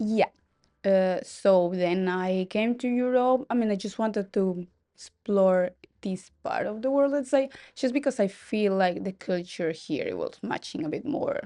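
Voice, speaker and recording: Over a quiet background, a woman with a non-native accent speaks fairly slowly in a dark, mellow tone, her fairly high pitch showing ordinary variation. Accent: foreign. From Colombia. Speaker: hotel receptionist. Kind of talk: casual interview.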